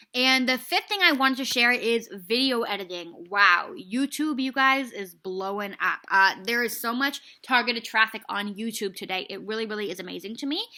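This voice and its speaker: With a bright, sharp tone, a woman speaks at a fairly high pitch, her loudness swinging widely. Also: ordinary pitch variation, moderate pace, hardly any pauses. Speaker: business and marketing coach. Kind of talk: casual vlog talk to viewers. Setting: Prague, self-recorded video. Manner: casual, filler-heavy.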